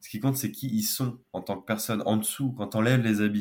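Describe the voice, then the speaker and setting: A man's fairly low voice at a moderate pace, in a very clean recording with a silent background. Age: 20s. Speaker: engineer and wellbeing founder. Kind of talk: podcast interview.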